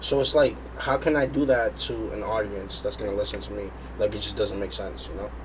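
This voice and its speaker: A man speaks at a fairly quick pace, and noticeable background noise can be heard. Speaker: rapper and singer. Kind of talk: interview. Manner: energetic.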